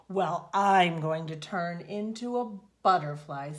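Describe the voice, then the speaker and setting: A put-on character voice, female-sounding and fairly low in pitch, at a fairly slow pace. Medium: read story. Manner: self-important.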